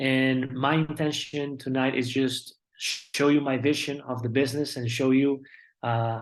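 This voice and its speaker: In a Colombian accent, a man speaks at a fairly slow pace. His medium-pitched delivery has monotone, flat intonation. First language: Spanish. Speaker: network marketing business speaker. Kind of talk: motivational presentation.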